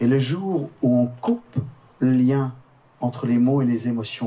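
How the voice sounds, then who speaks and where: A man talks at medium pitch, with noticeable background noise in the recording. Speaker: storyteller. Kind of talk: storytelling narration.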